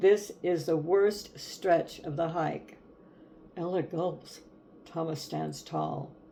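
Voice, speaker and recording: Her voice is fairly low, dark and mellow, with vocal fry. The woman speaks at a fairly slow pace with ordinary pitch variation. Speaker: storyteller. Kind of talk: reading aloud. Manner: occasional stutter.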